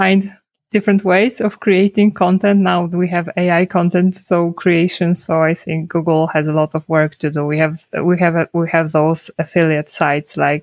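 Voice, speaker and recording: With a Polish accent, a woman speaks at a moderate pace in a fairly low pitch and fairly even intonation. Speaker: SEO consultant. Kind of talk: casual interview.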